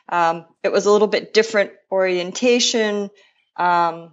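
A woman speaks in an unremarkable speaking voice at a moderate pace. Her pitch varies in an ordinary way. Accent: American. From Buffalo, New York, US. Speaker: rowing coach. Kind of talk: interview.

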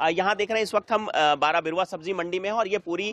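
At a fast pace, a man with a high pitch and fairly bright tone speaks with ordinary pitch variation in a dry, close sound with no echo.

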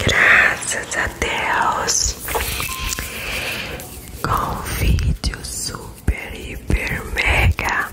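Whispering at a very slow pace with long, frequent pauses, a woman is heard over music in the background. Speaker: ASMR creator. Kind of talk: ASMR whispered relaxation video. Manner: whispered, soft. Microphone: studio mic.

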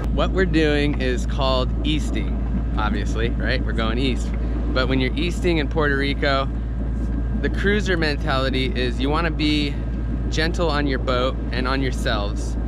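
A man talks at a moderate pace while loud background noise plays behind him. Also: dry sound with no echo. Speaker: sailing vlogger. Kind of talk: casual vlog chat. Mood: explaining, slightly defensive. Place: boat. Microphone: phone near.

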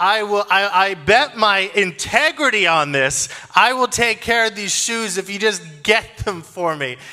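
Faint music plays behind a man who projects his raised voice at a fairly slow pace. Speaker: preacher. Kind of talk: sermon. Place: stage. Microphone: handheld.

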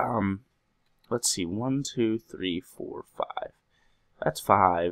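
A man talks at a very slow pace, with long, frequent pauses. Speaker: gaming video creator. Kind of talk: let's play commentary. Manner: casual, rambling with hesitations.

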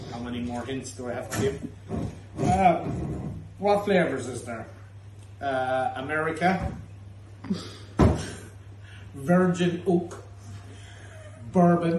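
Loud background noise and audible room echo surround speech at a fairly slow pace. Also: man. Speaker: pub host presenting the tasting. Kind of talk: casual tasting banter. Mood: jokey, laughing. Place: bar. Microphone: phone near.

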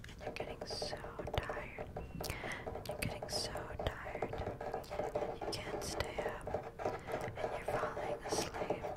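A soft-spoken woman whispering at a very slow pace, with long, frequent pauses. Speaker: ASMR creator. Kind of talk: soft ASMR sleep hypnosis talk. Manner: soft close-mic ASMR whisper. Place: home room. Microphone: studio mic.

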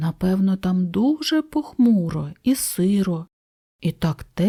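The background is quiet. Someone reads aloud naturally, with lively intonation.

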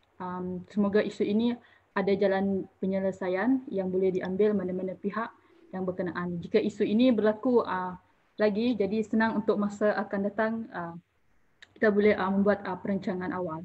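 A woman speaks in a somewhat breathy voice at a medium pitch and moderate pace, her intonation fairly even. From Malaysia, Orang Asli (Temiar) community. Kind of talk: online panel forum moderation. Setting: Facebook Live online forum. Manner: hesitant, many fillers.

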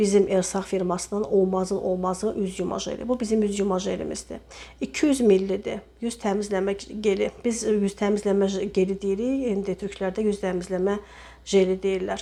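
A woman talks at a moderate pace with a medium pitch. Her intonation is fairly even. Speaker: cosmetics sales representative. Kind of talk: product demonstration sales pitch. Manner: hesitant with frequent filler sounds.

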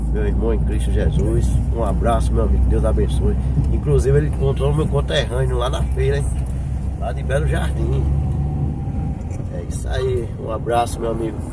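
Amid loud background noise, a man talks at a moderate pace with long, frequent pauses, the sound dry with no echo. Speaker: vlogger driving. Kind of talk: casual vlog chat. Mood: warm, grateful. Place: car. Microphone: phone near.

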